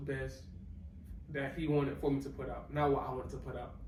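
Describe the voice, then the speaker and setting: A man speaks with audible room echo. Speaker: podcast host. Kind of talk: casual chat.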